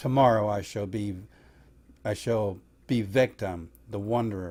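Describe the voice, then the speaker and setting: A man speaks in a put-on character voice. His pitch is fairly low and his pace moderate. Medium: read story. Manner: grave, solemn.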